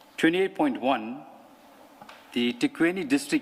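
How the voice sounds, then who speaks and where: A man talks at a moderate speed with noticeable background noise behind him. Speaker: police officer testifying at inquiry. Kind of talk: testimony.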